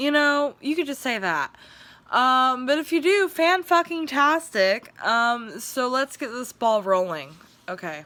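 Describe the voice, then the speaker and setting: A woman speaks in a raised, projected voice with a bright, sharp tone and high pitch. Her pitch swings very widely. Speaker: vlogger trying stand-up comedy. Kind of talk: casual vlog intro; comedy monologue to camera. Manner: pauses to smoke or drink.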